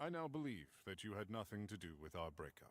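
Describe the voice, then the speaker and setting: This put-on character voice moves at a fairly quick pace with very wide pitch swings. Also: man. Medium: video game. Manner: stilted, dramatic.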